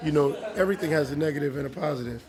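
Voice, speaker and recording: Crowd noise and audible room echo surround a man's voice. He speaks at a fairly quick pace with a fairly high pitch. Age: 40s. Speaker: interviewee. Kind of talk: interview.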